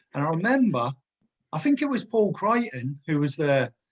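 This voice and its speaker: Somewhat breathy speech moves at a fairly quick pace with lively intonation. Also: man. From Corby, Northamptonshire, England. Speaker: former footballer. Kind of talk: casual chat.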